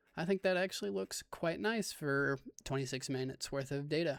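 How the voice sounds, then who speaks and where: Pitched fairly high, a man with an unremarkable speaking voice talks at a moderate pace with ordinary pitch variation. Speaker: amateur astrophotographer, video host. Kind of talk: casual screen-recorded tutorial. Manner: thinking aloud, self-talking.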